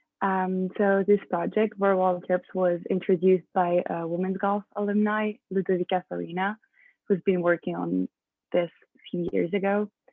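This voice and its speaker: In a French accent, a woman speaks at medium pitch with monotone, flat intonation. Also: moderate pace. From France. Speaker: student athlete. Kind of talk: presentation.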